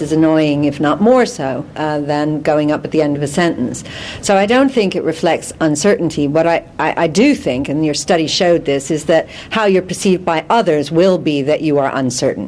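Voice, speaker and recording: The voice moves at a moderate pace with ordinary pitch variation and hardly any pauses, over noticeable background noise. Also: woman. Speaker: careers or workplace expert. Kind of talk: TV news interview answer.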